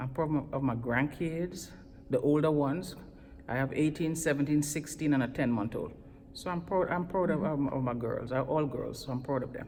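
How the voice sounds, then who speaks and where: With a very deep, low pitch and a dark, mellow tone, a woman talks at a moderate pace with ordinary pitch variation. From Trinidad, West Indies. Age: 50s. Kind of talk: interview answer. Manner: upbeat, enthusiastic.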